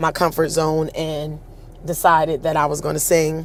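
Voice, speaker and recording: A woman with a husky voice speaks in an American accent. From Pennsylvania (Harrisburg). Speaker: show host and singer. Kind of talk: personal storytelling. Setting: livestream.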